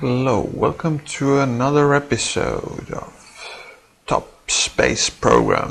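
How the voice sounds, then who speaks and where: Against noticeable background noise, a man with a non-native accent mumbles at a very slow pace. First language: not English. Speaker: gaming video creator. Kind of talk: gameplay commentary. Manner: mumbling; halting, many fillers.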